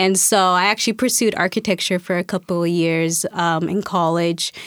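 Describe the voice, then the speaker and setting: A woman's fairly low-pitched voice with an American accent and fairly even intonation, on a very clean recording with a silent background. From Spokane, Washington, US. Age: 30s. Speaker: artist and teacher. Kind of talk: interview.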